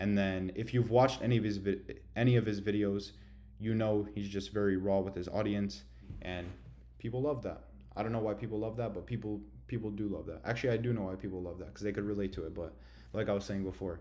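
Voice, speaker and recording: A man talks at a very fast pace in a dark, mellow tone with ordinary pitch variation, and room echo is audible. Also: fairly low pitch for a man. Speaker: online business coach. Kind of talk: tutorial. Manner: casual slangy.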